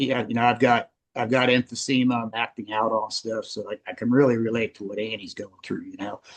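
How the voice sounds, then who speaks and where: A man's medium-pitched voice at a fairly quick pace, with hardly any pauses, monotone, flat intonation, and big swings in loudness. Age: 60s. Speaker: group participant. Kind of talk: casual chat. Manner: halting.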